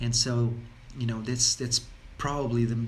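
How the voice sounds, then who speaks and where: A man's medium-pitched voice comes out somewhat breathy. His delivery is monotone and flat. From Portugal. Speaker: wellness coach. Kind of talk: casual talk to camera. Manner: halting, many fillers and repetitions.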